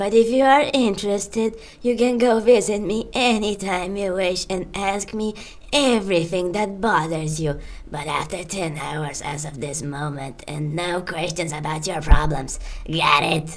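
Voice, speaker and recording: Amid clear background noise, a woman uses a put-on character voice at a medium pitch and a moderate pace. Her intonation is lively, with big swings in loudness. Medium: machinima. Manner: solemn, commanding.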